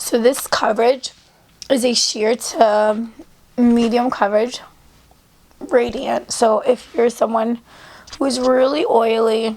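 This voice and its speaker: With noticeable background noise behind her, a woman speaks at a high pitch and a very slow pace, using fairly even intonation and long, frequent pauses. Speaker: beauty vlogger. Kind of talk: makeup review tutorial. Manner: casual, chatty.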